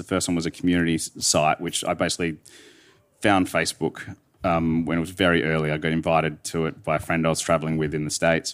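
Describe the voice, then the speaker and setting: A man with an Australian accent speaks at a very deep, low pitch on a very clean recording with a silent background. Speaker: wine retailer CEO and co-founder. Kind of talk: live interview on stage. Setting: stage with audience.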